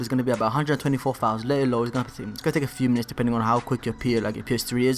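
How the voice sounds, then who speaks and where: Music plays in the background as a man talks at a very fast pace with hardly any pauses. His medium-pitched voice keeps a fairly even intonation. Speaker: gaming tutorial youtuber. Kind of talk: tutorial. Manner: casual, filler-heavy.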